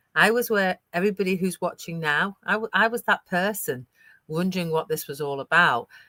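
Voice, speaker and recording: A woman with a British accent speaks at a fairly quick pace in a medium pitch, her tone bright and sharp. Her pitch varies in an ordinary way, and the sound is dry and close with no echo. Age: 60s. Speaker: digital business owner. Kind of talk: live stream interview. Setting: live stream.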